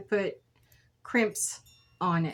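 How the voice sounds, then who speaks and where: A woman with a medium pitch talks very slowly. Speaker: beading craft YouTuber. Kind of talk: crafting tutorial. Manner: casual, chatty with fillers.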